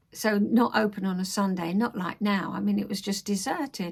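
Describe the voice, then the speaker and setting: A somewhat breathy woman with a London accent, fairly high-pitched and fairly slow, on a very clean recording with a silent background. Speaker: crafter and life-story vlogger. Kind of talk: casual talk to camera.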